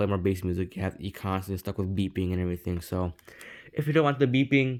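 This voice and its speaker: Mumbling at a very fast pace, a man speaks at a fairly low pitch with ordinary pitch variation on a very clean recording with a silent background. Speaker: tech reviewer youtuber. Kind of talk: product review. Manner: casual, hesitant with fillers.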